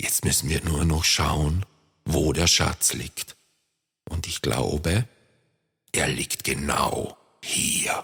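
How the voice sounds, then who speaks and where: A man uses a put-on character voice with a very deep, low pitch. He speaks at a very slow pace with long, frequent pauses. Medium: read story.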